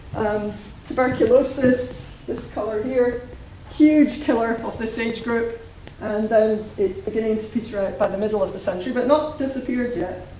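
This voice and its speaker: A woman with a Scottish accent speaks at a fairly high pitch and moderate pace with ordinary pitch variation. Audible room echo and noticeable background noise fill the recording. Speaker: demography researcher. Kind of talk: lecture. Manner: hesitant, many fillers.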